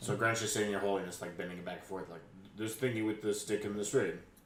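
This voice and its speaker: A man puts on a raspy character voice, fairly low in pitch, talking at a very fast pace with fairly even intonation and a slight echo. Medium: actual play. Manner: hesitant, halting.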